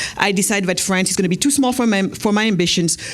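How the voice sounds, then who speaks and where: A woman at a medium pitch talks at a fairly quick pace, with audible room echo around her voice. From Senegal. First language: not English (Wolof/French). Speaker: entrepreneur and speaker. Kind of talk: keynote speech. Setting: stage with audience at gala. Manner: fast; animated.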